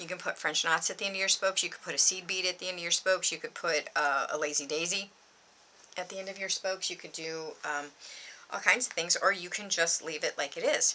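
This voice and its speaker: The speech moves at a very fast pace with fairly even intonation. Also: woman, medium pitch for a woman. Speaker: embroidery tutorial youtuber. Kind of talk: tutorial. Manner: rambling, filler-heavy.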